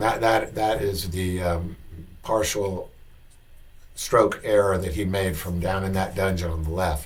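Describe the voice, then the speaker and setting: A man's somewhat breathy, fairly low voice at a moderate pace, with audible room echo. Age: 60s. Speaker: golf commentator, former tour player. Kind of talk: video commentary / analysis. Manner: halting, many fillers.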